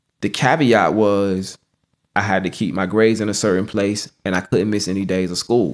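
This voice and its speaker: A normal speaking voice from a man with an American accent, fairly low pitch, fairly even intonation and a moderate pace. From US, Norfolk, Virginia. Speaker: spoken word poet. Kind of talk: interview.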